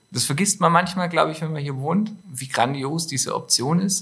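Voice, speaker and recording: A man talks with a somewhat breathy voice at a moderate speed, his pitch moving in an ordinary way. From Stuttgart, southwest Germany. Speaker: clothing designer and entrepreneur. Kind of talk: casual interview.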